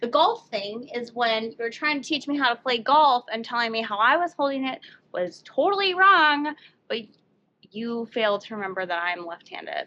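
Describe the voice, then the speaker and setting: High-pitched female voice, bright and sharp in tone, with very wide pitch swings. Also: moderate pace. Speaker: co-host learning woodworking. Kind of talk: casual banter during a DIY tutorial. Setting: home workshop. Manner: talking loudly over ear protection; hesitant, halting.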